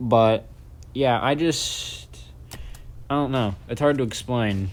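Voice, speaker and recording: Speaking at a very slow pace, a man with a medium pitch comes through over noticeable background noise. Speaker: gaming YouTuber. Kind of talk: vlog vent. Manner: monotone; halting.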